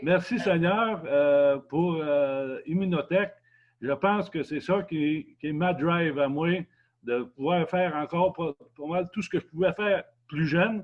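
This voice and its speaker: Very slowly, a man with a Quebec accent speaks in a high voice. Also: ordinary pitch variation. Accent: Québécois French. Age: 70s. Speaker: customer. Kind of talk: testimony. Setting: video call. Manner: halting.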